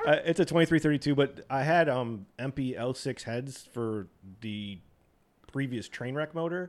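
With an American accent, a man speaks at a moderate pace in an unremarkable speaking voice, pitched fairly high with ordinary pitch variation. The recording is very clean, the background silent. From US East Coast. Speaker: car club member. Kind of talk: casual roundtable chat. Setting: studio.

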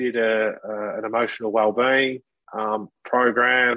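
In an Australian accent, the speech moves at a very slow pace with monotone, flat intonation. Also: man. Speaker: former professional footballer. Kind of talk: interview testimony. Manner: halting, many fillers.

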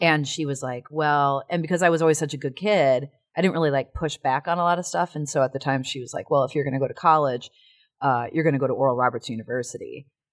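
A very fast, animated voice in a Chicago accent with ordinary pitch variation, dry and close with no echo, on a very clean recording with a silent background. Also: woman, very deep, low pitch for a woman. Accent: Chicago-area American. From US Midwest, Chicago area. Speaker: actor and musician. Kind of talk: casual interview chat. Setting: studio. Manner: animated, laughing often.

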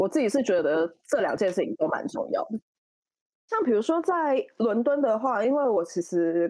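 Dark, mellow tone with very wide pitch swings, very even loudness and a moderate pace. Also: woman, fairly high pitch for a woman. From Taiwan. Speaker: fashion stylist. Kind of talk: interview. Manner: hesitant, filler-heavy.

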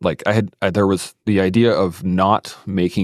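A man's voice sits very deep and low, with ordinary pitch variation. The sound is dry and close, with no echo. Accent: Western Canadian. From southern Alberta, Canada. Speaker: military veteran and podcaster. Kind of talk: interview conversation.

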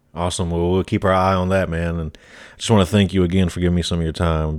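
A man with a very deep, low pitch and a Southern US accent, on a very clean recording with a silent background. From US South, South Carolina. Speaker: podcast host. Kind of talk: interview.

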